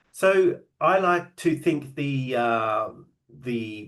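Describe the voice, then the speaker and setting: The speaker has an Australian accent and lively intonation. Audible room echo surrounds the voice. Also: man. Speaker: genealogy and AI presenter. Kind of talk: online lecture. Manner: hesitant, many filler words.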